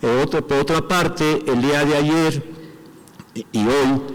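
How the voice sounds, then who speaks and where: A man's fairly high-pitched voice at a very slow pace, with ordinary pitch variation and noticeable background noise. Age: 60s. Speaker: athlete and movement representative. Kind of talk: assembly report.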